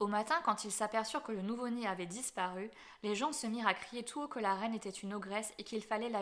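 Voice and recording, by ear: A passage is read out loud. The delivery is natural.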